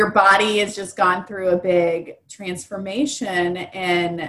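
A woman speaks with a Midwestern American accent. Her pitch is medium. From Indianapolis, Indiana, US Midwest. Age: 30s. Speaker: fitness festival organizer. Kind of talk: casual interview.

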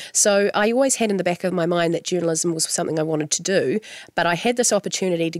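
A woman with a New Zealand accent speaks at a very fast pace. Her voice is fairly low in pitch. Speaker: radio host. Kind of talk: interview.

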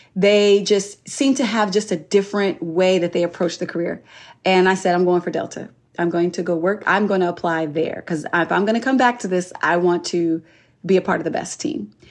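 A woman with a normal speaking voice talks at a fairly quick pace. Her pitch is medium, with ordinary pitch variation. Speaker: flight attendant. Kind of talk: interview.

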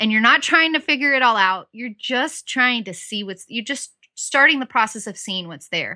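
A woman with an American accent speaks at a high pitch in a bright, sharp tone, with lively intonation. Her loudness swings widely, with hardly any pauses, over a quiet background. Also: moderate pace, dry, close sound with no echo. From Southern California. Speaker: Bible study teacher. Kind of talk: interview.

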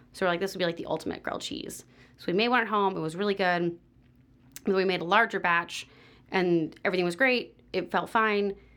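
A woman's unremarkable speaking voice at medium pitch, fairly quick in pace with ordinary pitch variation, over a very clean, silent background. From US West Coast, San Diego. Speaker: pastry chef and bakery owner. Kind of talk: casual interview.

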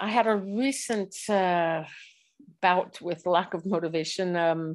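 In a very clean recording with a silent background, a speaker with an American accent goes at a fairly slow pace with ordinary pitch variation. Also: woman. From US Midwest, Chicago area. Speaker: cycling coach and former Olympic cyclist. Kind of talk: interview conversation. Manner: hesitant, many fillers.

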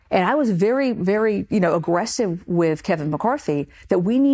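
Speaking at a fairly quick pace, a woman has an unremarkable speaking voice. Her intonation is lively. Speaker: congresswoman. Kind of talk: political interview.

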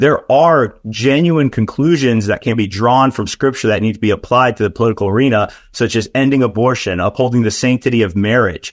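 At a fairly quick pace, a man talks in an ordinary speaking voice, his pitch varying in an ordinary way. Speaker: political and theological commentator. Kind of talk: interview.

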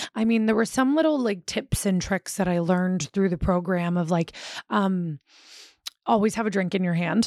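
A woman with an American accent, a plain, everyday voice, lively intonation and a moderate pace, with very even loudness in a very clean recording with a silent background and a dry, close sound with no echo. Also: medium pitch for a woman. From Philadelphia suburbs, US. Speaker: recovering addict sharing story. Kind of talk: casual interview, personal testimony.

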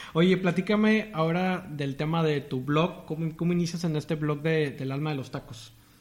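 A man speaks in a normal speaking voice at a fairly high pitch and moderate pace. He barely pauses, and his intonation stays fairly even. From Tamaulipas, northern Mexico. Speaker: podcast host. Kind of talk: interview.

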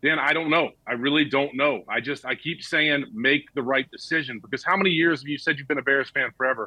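A man with an American accent and an ordinary speaking voice talks at a fairly quick pace and fairly high pitch, with ordinary pitch variation and hardly any pauses. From US South, Georgia (Marietta). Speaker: former NFL player and sports broadcaster. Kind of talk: casual chat.

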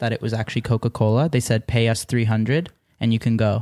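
Speaking at a fairly quick pace, a man with an Ontario accent has a medium pitch. The sound is dry and close with no echo, on a very clean recording with a silent background. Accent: Canadian (Ontario). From Canada, Mississauga near Toronto. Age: 20s. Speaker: YouTube prankster. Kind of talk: casual chat. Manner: animated.

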